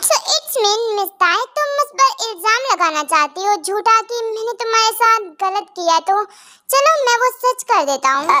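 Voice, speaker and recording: Here is a put-on character voice at an extremely high pitch. It moves at a moderate pace. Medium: read story. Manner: stern, condescending.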